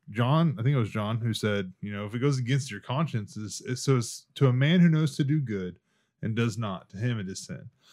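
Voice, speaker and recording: In a very clean recording with a silent background, a man with an unremarkable speaking voice and a medium pitch speaks at a moderate pace with lively intonation. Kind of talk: casual chat.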